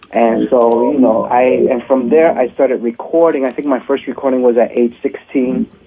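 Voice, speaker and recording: Noticeable background noise sits behind a man speaking at a moderate pace. His pitch is medium, with fairly even intonation. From New York City. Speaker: salsa singer. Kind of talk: interview. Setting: phone call.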